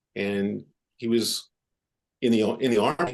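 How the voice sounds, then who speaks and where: This man speaks with a New York accent. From New York City, Upper West Side of Manhattan. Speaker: orthopedic surgeon. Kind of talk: podcast interview. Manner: halting.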